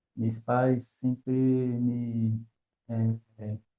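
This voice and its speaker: A man speaks at a medium pitch. He has a Brazilian accent. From Brazil, Salvador, Bahia. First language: Portuguese (speaking Spanish). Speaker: academic guest. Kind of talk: interview. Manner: halting.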